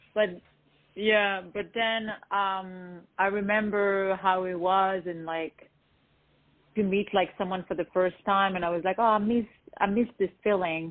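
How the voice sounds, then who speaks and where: With a French accent, a woman talks at a fairly slow pace in a monotone, flat intonation. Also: medium pitch for a woman. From France, born in Lebanon. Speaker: R&B singer-songwriter. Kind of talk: interview.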